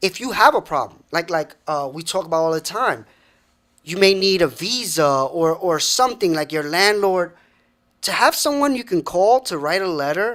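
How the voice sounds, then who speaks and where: Over a very clean recording with a silent background, a man talks at a moderate pace in a high voice with lively intonation. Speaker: podcast co-host. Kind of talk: casual talk show conversation.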